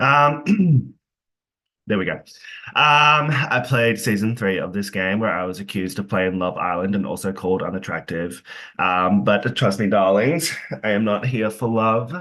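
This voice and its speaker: Over a quiet background, a man with an Australian accent talks at a moderate pace, his fairly low pitch carrying a bright, sharp tone and lively intonation. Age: 20s. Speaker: online game player. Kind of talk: casual introduction in online group game.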